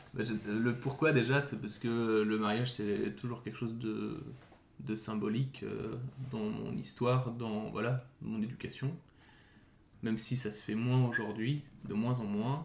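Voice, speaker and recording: A fairly slow man's voice of medium pitch, with ordinary pitch variation and long, frequent pauses. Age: 30s. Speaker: nurse. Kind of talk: casual chat. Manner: halting, many hesitations.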